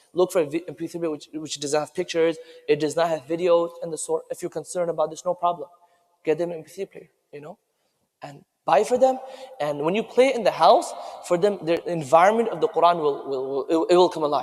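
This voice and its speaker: Speaking at a very fast pace, a man with a high pitch shows ordinary pitch variation and big swings in loudness. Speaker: Quran school teacher. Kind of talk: speech at award ceremony.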